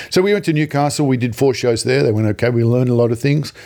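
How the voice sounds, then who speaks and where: Here a man speaks with an Australian accent at a medium pitch. His tone is dark and mellow. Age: 60s. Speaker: comedian. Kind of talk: interview.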